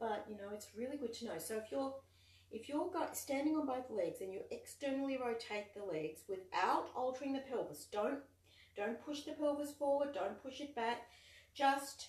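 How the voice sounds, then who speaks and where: A woman's high-pitched voice with lively intonation at a moderate pace, along with audible room echo and noticeable background noise. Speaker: online exercise and dance movement instructor. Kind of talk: live fitness class instruction. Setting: live online video session. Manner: soft-spoken.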